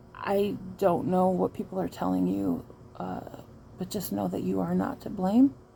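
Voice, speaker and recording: In a Midwestern US accent, a woman speaks. She leaves long, frequent pauses. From Michigan. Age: 40s. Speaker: trauma survivor vlogger. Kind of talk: personal testimony vlog. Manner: halting, frequent fillers.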